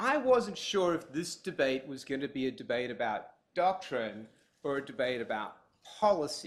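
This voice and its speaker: With a strong Australian accent, a man speaks at a fairly high pitch that swings very widely. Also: moderate pace. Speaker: law professor. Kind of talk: formal debate speech. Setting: conference room with live audience.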